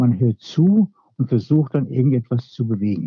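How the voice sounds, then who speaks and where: A man speaks with ordinary pitch variation. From Hesse, Germany (Hofheim-Marxheim). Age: 60s. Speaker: local politician. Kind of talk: interview. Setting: podcast recording.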